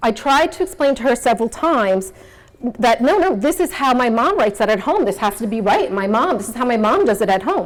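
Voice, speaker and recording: A woman with a slight New York accent talks at a fairly quick pace, her fairly high voice making very wide pitch swings. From New York City (Queens). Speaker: nonprofit executive, speaker. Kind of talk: motivational talk.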